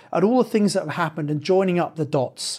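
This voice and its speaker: With a southern English accent, a man speaks fairly quickly at a high pitch, his intonation lively, on a very clean recording with a silent background. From southern England (Sevenoaks, Kent). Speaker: property investment podcast host. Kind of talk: solo podcast monologue.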